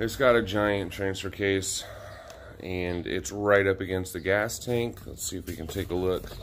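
Light background noise sits under a man's voice. He speaks at a fairly low pitch and a fairly slow pace. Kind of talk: tutorial. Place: garage. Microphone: phone near.

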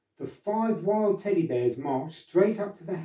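Lively intonation in a natural reading voice.

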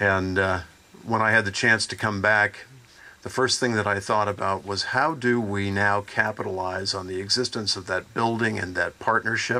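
A man with a plain, everyday voice speaks at a moderate pace, fairly low in pitch, with fairly even intonation. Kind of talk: public talk to audience. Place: open country. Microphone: podium.

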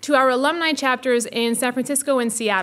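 This woman speaks at a very fast pace. Her pitch is high. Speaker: faculty director hosting event. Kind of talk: formal welcome speech. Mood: warm, enthusiastic. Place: hall. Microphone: podium.

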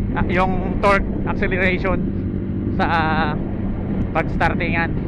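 Loud background noise fills the recording. The sound is dry, with no echo. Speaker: motorbike rider vlogger. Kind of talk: casual vlog chat. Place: motorbike. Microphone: helmet.

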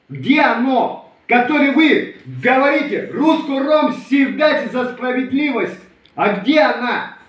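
In a room with audible echo, a man speaks very slowly at an extremely high pitch with ordinary pitch variation. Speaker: Romani community video blogger. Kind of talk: video address to a rival. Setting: self-recorded video. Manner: heated, confrontational. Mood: aggrieved, indignant. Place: home room. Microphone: phone near.

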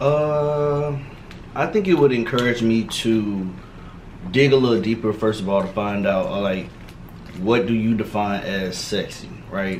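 At a fairly slow pace, a man with an American accent talks at a medium pitch with lively intonation, long and frequent pauses, and light background noise. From Miami, Florida. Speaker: medical student. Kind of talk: casual chat while eating. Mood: relaxed, thoughtful. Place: home room.

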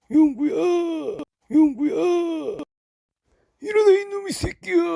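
High-pitched put-on character voice at a fairly slow pace. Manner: scolding, gruff.

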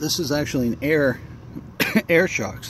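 Noticeable background noise behind a man speaking with ordinary pitch variation. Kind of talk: casual vlog walkaround. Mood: pleased, relaxed. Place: street. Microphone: phone near.

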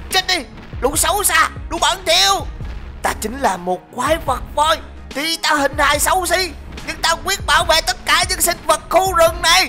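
A put-on character voice with an extremely high pitch moves at a moderate pace over clear music in the background. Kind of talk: comic overacting. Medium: machinima. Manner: furious, defiant.

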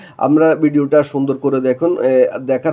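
Dark and mellow in tone, a man's voice keeps fairly even intonation. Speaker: mobile phone repair technician. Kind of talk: repair tutorial. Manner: casual, conversational.

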